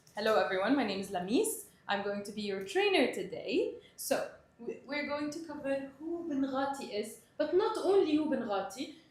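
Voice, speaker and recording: A woman's high-pitched voice swings very widely in pitch, broken by long, frequent pauses. Noticeable background noise and audible room echo surround it. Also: moderate pace. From Middle East (Palestinian Egyptian). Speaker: sales trainer. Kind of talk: training presentation.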